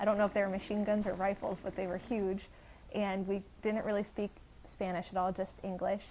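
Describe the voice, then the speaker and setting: Speaking at a fairly quick pace, a woman with a Midwestern American accent has a medium pitch and monotone, flat intonation. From northeastern Ohio. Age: 20s. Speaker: traveler. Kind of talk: interview answers. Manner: casual.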